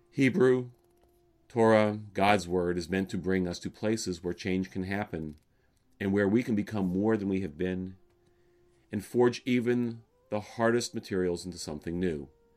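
Speaking with an American accent at a moderate pace, a man with a fairly low voice and ordinary pitch variation leaves long, frequent pauses. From US South, Alabama. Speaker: rabbi. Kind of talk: sermon. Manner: calm, measured.

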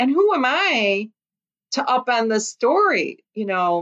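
A woman with a Chicago accent and a fairly high pitch. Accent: Chicago American. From US Midwest, Chicago Lithuanian community. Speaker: author and former journalist. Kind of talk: interview.

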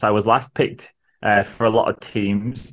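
This man speaks with a northern English accent. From northern England, Manchester area. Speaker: social worker and podcaster. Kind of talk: casual interview chat.

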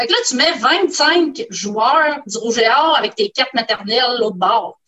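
A woman speaks in a high pitch with a Quebec accent. Her pace is fairly slow. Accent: Québécois French. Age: 50s. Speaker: scientist. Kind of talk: casual chat. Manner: halting, many hesitations.

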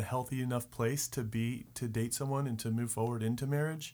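A man with an American accent and an unremarkable speaking voice talks at a medium pitch and a moderate pace with fairly even intonation. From Richmond, Virginia. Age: 30s. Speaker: real estate worker. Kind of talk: casual chat.

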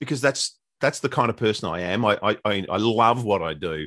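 An Australian-accented man speaks at a moderate pace with lively intonation over a quiet background. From Australia, Melbourne. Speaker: radio disc jockey. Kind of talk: interview.

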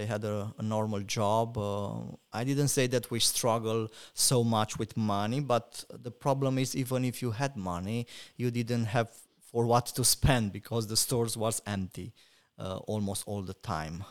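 Recorded very cleanly against a silent background, a man with a Romanian accent speaks at a fairly slow pace, medium in pitch with fairly even intonation. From Romania, Cluj region. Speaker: pastor. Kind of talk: interview.

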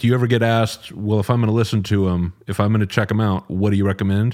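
A man talks at a fairly quick pace in a plain, everyday voice, fairly low in pitch with fairly even intonation. The recording is very clean, with a silent background. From Texas, Dallas. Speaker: podcast host. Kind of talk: interview.

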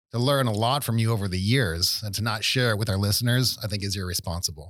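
In a very clean recording with a silent background, a man with an ordinary speaking voice talks at a fairly quick pace, fairly low in pitch with ordinary pitch variation. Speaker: podcast host and health practitioner. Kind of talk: interview.

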